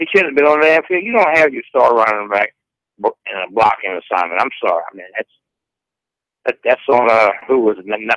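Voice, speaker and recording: A man with a Southern US accent speaks at a medium pitch and a fairly quick pace. His voice has very wide pitch swings and big swings in loudness, with a dry, close sound and no echo. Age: 60s. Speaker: caller. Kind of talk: radio call-in.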